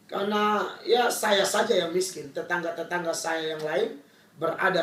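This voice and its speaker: Fairly slow speech from a man with a fairly high pitch and ordinary pitch variation, amid noticeable background noise and audible room echo. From Indonesia, Kupang, East Nusa Tenggara (Timor). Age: 30s. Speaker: pastor. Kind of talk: testimony.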